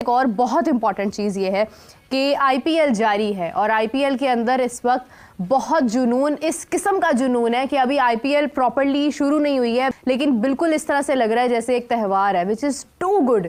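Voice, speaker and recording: Holding a very even loudness, a woman speaks at a high pitch and a moderate pace with ordinary pitch variation. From Pakistan. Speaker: cricket commentator. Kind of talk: opinion talk show.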